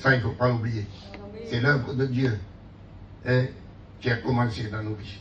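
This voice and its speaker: This man's voice sits at a medium pitch with ordinary pitch variation. The recording has audible room echo and noticeable background noise. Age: 60s. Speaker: pastor. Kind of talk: sermon. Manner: animated.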